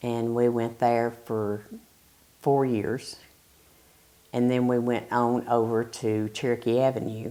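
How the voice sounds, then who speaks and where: A woman's very deep, low voice in a Southern US accent, with fairly even intonation. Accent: Southern US (Georgia). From US South, Bartow County, Georgia. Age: 60s. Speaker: retired factory quality control worker. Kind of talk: oral history interview.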